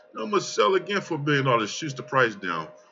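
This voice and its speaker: A man talks at a very fast pace with a fairly high pitch and very wide pitch swings. Noticeable background noise is audible. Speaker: crypto trading youtuber. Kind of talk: market analysis screen-share commentary. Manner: casual, filler-heavy.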